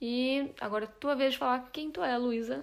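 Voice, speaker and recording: A woman talks at a moderate pace. Her pitch sits high. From Brazil. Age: 20s. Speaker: podcast co-host, journalist. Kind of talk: casual chat.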